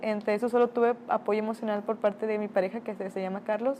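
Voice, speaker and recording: A woman with a plain, everyday voice, fairly high in pitch, at a fairly quick pace with fairly even intonation. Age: 20s. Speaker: interviewee. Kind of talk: testimony.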